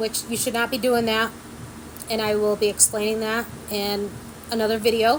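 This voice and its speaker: A woman talks at a fairly high pitch against noticeable background noise. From small country town. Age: 40s. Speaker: vlogger. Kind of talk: casual chat. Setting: sitting at home by a window.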